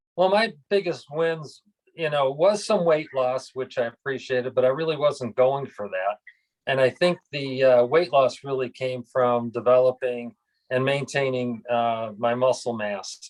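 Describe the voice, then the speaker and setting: An unremarkable, medium-pitched male voice at a moderate pace with ordinary pitch variation, in a dry, close sound with no echo. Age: 60s. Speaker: retired golf club pro. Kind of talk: testimonial interview.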